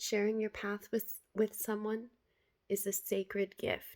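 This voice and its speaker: A woman with a medium pitch is heard in a very clean recording with a silent background. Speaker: spiritual vlogger. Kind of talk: reading aloud and reflective monologue. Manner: stutters at times; casual, repetitive filler words.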